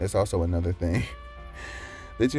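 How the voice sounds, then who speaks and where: Male speech with very wide pitch swings, music in the background. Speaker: animator. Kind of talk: screen-recorded tutorial narration.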